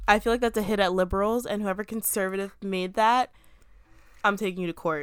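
A woman with an American accent speaks at a fairly quick pace. She has a normal speaking voice at medium pitch. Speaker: podcast co-host. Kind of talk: casual chat.

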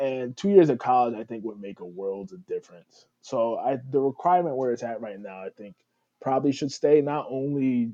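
A man with an American accent and a normal speaking voice, medium in pitch, with ordinary pitch variation and a fairly quick pace. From New Haven, Connecticut. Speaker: former college football player. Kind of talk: casual interview.

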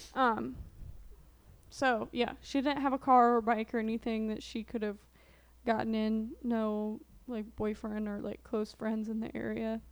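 The speaker has an American accent and a fairly slow pace. Intonation stays fairly even, broken by long, frequent pauses. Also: woman, fairly high pitch for a woman. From southern Illinois, near Marion. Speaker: true crime podcast co-host. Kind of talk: casual chat.

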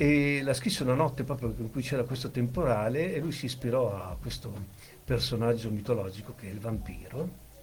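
Audible room echo surrounds a man speaking at medium pitch and a fairly quick pace with ordinary pitch variation. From central Italy (Monte Castello area). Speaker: amputee with prosthesis, former disc jockey. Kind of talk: casual chat.

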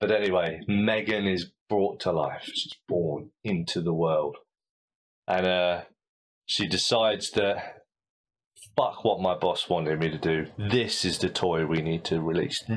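At a fairly slow pace, a man with a British accent speaks in a very deep, low pitch with ordinary pitch variation. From Britain. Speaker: podcast host. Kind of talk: casual chat. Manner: halting.

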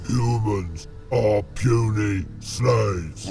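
A man puts on a character voice at fairly low pitch. Clear background noise runs underneath. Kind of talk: simple clipped speech. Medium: audio drama. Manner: slow, blunt, menacing.

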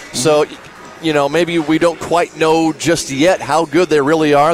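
Over background music, a man talks in a fairly high voice. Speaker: radio color commentator. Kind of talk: sports analysis, color commentary. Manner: conversational, measured analysis.

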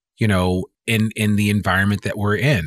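A man speaks at a moderate pace with fairly even intonation and a fairly low pitch. The recording is very clean, with a silent background and a dry, close sound with no echo. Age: 50s. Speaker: podcast host. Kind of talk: interview. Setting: office.

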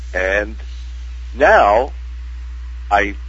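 A man's voice, with noticeable background noise and audible room echo. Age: 60s. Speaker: actor. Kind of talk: casual chat.

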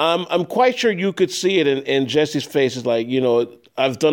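Delivered at a fairly quick pace, a man's speech has lively intonation and a Chicago accent. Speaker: radio host. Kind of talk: interview.

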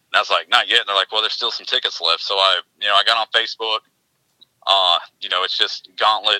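A man with an East Tennessee accent at a very fast pace, dry and close with no echo. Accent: Southern US (East Tennessee). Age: 40s. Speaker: realtor and endurance racer. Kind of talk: casual chat.

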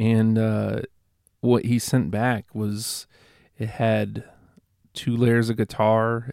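A man's flat, monotone delivery at medium pitch and very slow pace, on a very clean recording with a silent background. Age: 30s. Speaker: podcast host and musician. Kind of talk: casual solo monologue.

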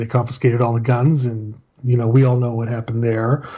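Very fast and monotone, a man with an American accent speaks in a dark, mellow tone that is somewhat breathy. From El Paso, Texas. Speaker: retired police officer. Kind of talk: casual chat.

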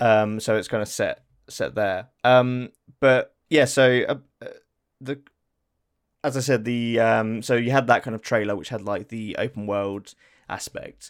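At a fairly slow pace with long, frequent pauses, a man with an English accent speaks at a medium pitch and fairly even intonation, on a very clean recording with a silent background. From England. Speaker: podcast co-host. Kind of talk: casual chat.

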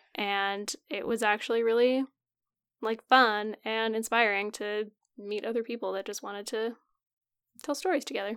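A woman speaks at a moderate pace and a fairly high pitch, her intonation fairly even. She leaves long, frequent pauses, and the recording is very clean with a silent background. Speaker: podcast co-host. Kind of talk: casual chat.

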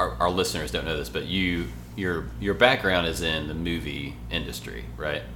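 A very deep, low male voice with lively intonation over noticeable background noise. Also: moderate pace. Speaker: podcast host. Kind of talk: casual chat. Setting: hotel room recording.

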